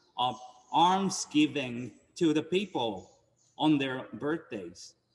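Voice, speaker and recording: Speaking at a very slow pace with a Japanese accent, a man uses ordinary pitch variation. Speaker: Buddhist minister. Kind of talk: dharma talk. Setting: temple service streamed on Zoom.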